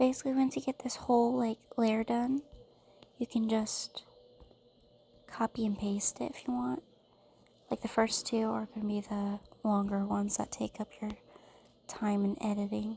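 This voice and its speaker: The pace is moderate. Long pauses come often. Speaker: tutorial creator. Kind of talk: tutorial. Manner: casual, thinking aloud.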